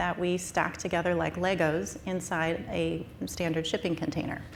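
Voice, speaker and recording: A woman with an American accent talks at a moderate pace, her pitch fairly low and marked by vocal fry. Audible room echo surrounds her voice. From US Southwest. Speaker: startup founder presenting wastewater technology. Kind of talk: conference presentation.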